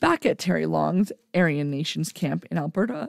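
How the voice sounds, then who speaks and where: A woman with a Canadian accent and vocal fry at a moderate pace, in a dry, close sound with no echo and a very clean recording with a silent background. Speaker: podcast host. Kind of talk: reading aloud with commentary.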